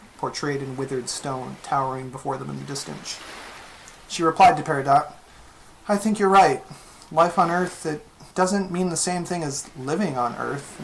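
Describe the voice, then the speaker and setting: A woman with a very deep, low pitch and ordinary pitch variation speaks at a moderate pace with long, frequent pauses. Her loudness swings widely, and there is noticeable background noise. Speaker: fan fiction writer. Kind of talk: fiction reading.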